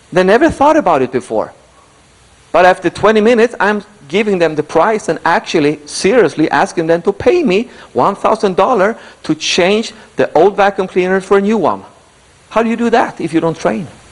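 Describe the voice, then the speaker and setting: Against noticeable background noise, a man speaks in an animated tone at a high pitch with lively intonation. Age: 70s. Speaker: motivational speaker. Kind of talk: motivational speech.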